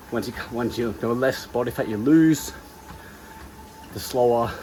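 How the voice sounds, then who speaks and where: The pitch moves with ordinary variation. Noticeable background noise sits under the speech. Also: man. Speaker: personal trainer and bodybuilding competitor. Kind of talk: vlog talking to camera. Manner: hushed, quiet.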